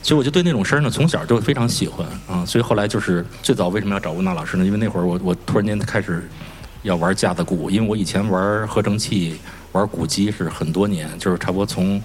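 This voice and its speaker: Talking at a very fast pace, a man with a fairly low pitch is heard over noticeable background noise. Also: ordinary pitch variation. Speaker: artist. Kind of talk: panel discussion. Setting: stage with audience.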